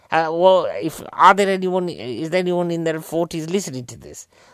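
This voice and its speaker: An English accent from a man, on a very clean recording against a silent background. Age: 40s. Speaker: comedian. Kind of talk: casual film review monologue.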